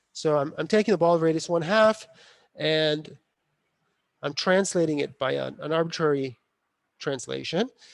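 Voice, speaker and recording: Leaving long, frequent pauses, a man talks at a fairly high pitch with ordinary pitch variation. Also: moderate pace. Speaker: university lecturer. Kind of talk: lecture.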